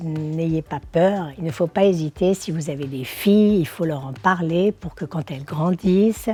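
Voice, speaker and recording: A woman's fairly low, dark, mellow voice. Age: 60s. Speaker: social media influencer and model. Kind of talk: awareness testimony to camera. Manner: hesitant, many fillers.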